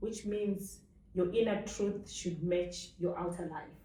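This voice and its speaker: A woman speaks very slowly, with a dark, mellow tone and fairly even intonation. Room echo can be heard. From Africa. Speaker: author. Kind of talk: interview. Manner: loud.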